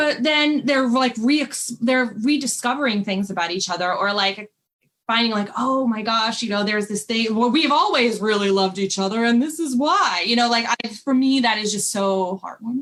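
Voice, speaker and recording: An unremarkable speaking voice from a woman with an American accent, fairly high in pitch, at a moderate pace with ordinary pitch variation. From New York City (Brooklyn). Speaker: romance author. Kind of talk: panel interview. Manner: casual, many fillers.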